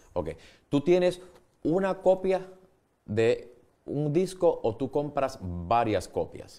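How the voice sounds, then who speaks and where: Over a quiet background, a man talks at a very slow pace. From Puerto Rico. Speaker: TV show host. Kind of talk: TV interview. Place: studio.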